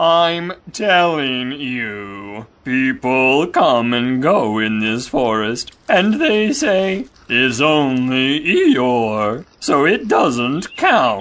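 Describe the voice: A put-on character voice speaks at a very slow pace. The tone is fairly bright, with big swings in pitch.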